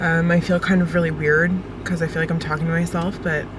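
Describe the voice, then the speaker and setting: A woman speaks at a fairly quick pace with a fairly low pitch. The sound is dry with no echo, but noticeable background noise is present. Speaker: vlogger. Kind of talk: casual vlog chat. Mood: cheerful, slightly self-conscious. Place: car.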